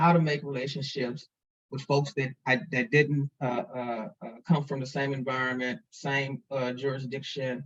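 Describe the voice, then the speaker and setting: A man's somewhat breathy voice comes at a fairly high pitch and a moderate pace. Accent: American. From St. Louis, Missouri. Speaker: foundation president. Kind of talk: interview. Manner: halting, many repeated words.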